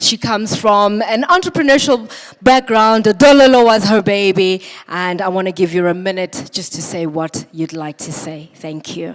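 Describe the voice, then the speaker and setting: Noticeable background noise sits behind a woman's medium-pitched voice. She speaks at a moderate pace with lively intonation. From South Africa. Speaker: awards ceremony moderator. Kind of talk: award ceremony hosting. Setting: stage with audience. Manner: animated.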